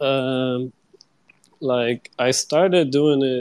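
A man with a Brazilian accent, medium pitch and fairly even intonation, in a dry, close sound with no echo. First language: Portuguese. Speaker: digital artist. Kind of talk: casual chat. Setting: live online audio chat. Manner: slightly shy, hesitant.

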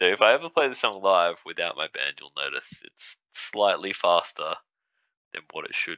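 In an Australian accent, a man speaks at a moderate pace with big swings in loudness. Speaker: musician. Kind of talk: casual chat.

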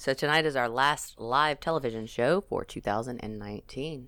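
A woman with a Louisiana accent and a very deep, low pitch. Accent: Louisiana Southern US. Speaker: podcast host. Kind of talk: casual chat. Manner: animated.

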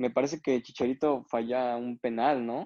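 At a fairly slow pace, a man speaks in a flat, monotone way. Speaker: sports podcast co-host. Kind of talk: casual chat.

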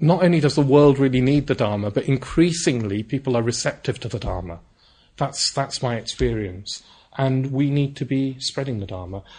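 A man speaks in a fairly high, somewhat breathy voice with lively intonation. Long, frequent pauses break it up against a quiet background. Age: 40s. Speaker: Buddhist teacher. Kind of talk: dharma talk. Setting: centre with live audience. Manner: hesitant with fillers.

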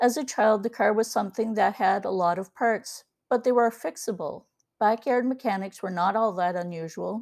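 A woman speaks in an ordinary speaking voice at a fairly high pitch and a moderate pace. Her pitch varies in an ordinary way. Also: very clean recording, silent background. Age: 60s. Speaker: podcast host and ebook author. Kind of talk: personal opinion monologue.

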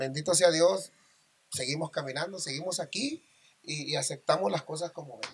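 This man has a normal speaking voice with fairly high pitch. He talks at a moderate pace with ordinary pitch variation. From Mazatlán, Sinaloa, Mexico. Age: 40s. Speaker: regional Mexican singer. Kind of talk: casual interview chat.

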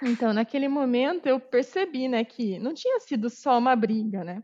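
A woman talks at a moderate pace in a high voice. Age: 30s. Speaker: quality assurance professional. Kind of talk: interview testimony.

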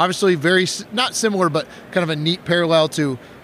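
This man has a plain, everyday voice, fairly high in pitch, and he talks at a fairly quick pace. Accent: American. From Wisconsin. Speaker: game designer and art school director. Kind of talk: casual interview. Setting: live at a game convention.

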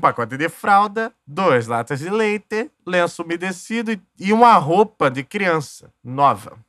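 A man speaks fairly slowly at a high pitch, with very wide pitch swings, big swings in loudness and hardly any pauses. Music plays in the background, and the sound is dry and close with no echo. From Duque de Caxias, Rio de Janeiro, Brazil. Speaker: podcast host. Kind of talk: casual monologue storytelling. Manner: animated.

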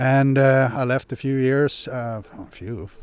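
A man speaks with a Swedish accent. The recording is very clean, with a silent background. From Sweden, Hedemora. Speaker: retired mining executive, company director. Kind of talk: interview. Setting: on location. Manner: halting.

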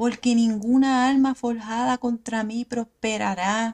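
A woman's somewhat breathy voice with a fairly high pitch. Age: 40s. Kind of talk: devotional teaching monologue.

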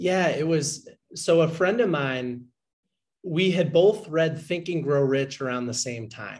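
This man has an ordinary speaking voice with a fairly high pitch and ordinary pitch variation. He talks at a fairly slow pace. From Boston, Massachusetts. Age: 20s. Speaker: book podcaster and entrepreneur. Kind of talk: interview chat.

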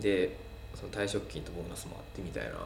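Speech comes at a fairly quick pace. Audible room echo and noticeable background noise are present. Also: man. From Wakayama city, Japan. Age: 30s. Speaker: Instagram cafe influencer. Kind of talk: casual interview chat.

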